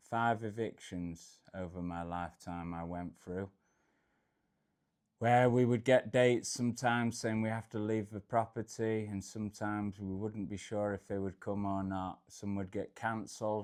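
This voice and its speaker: A man with a northern Midlands accent speaks at a moderate pace, his fairly low voice carrying fairly even intonation. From England, Derbyshire (Peak District). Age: 40s. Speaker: travel vlogger. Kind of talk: personal life story monologue. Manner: casual, with fillers.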